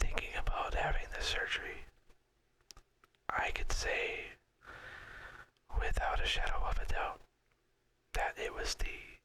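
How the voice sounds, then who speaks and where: Relaxed whispering at a fairly slow pace, broken by long, frequent pauses. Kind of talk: whispered ASMR talk to camera about personal story. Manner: whispered, relaxed.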